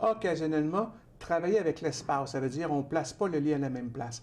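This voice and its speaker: A man's fairly high voice moves with lively intonation. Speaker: author and trainer. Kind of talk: TV interview. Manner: calm, measured pace.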